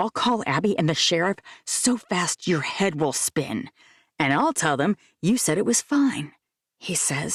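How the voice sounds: Lively intonation runs through a natural reading voice over a quiet background.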